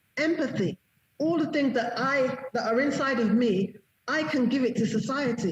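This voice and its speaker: A woman's high-pitched voice with lively intonation at a moderate pace. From UK (London), partly raised in Nigeria. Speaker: confidence coach and entrepreneur. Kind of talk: interview conversation. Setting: live online stream.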